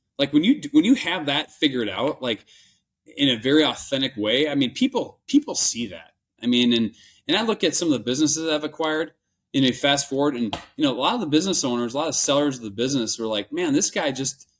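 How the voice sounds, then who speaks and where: With a Minnesotan accent, a man speaks very fast at a fairly high pitch with lively intonation, on a very clean recording with a silent background. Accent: Minnesota. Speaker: business acquirer, entrepreneur. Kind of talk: interview conversation. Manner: halting, many restarts and fillers.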